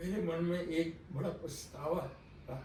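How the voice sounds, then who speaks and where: A man speaks with a fairly high pitch. Noticeable background noise sits behind him. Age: 80s+. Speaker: retired school principal. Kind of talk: interview answer.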